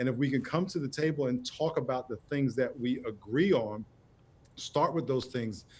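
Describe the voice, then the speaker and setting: This is a normal speaking voice at a fairly quick pace. The background is quiet. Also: man. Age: 60s. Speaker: pastor and author. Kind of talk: TV interview.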